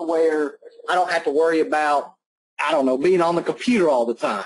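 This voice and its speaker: With a slight Southern US accent, this man speaks in a high pitch. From Alabama. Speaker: online marketer. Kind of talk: testimonial on webinar. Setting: online webinar call. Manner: casual.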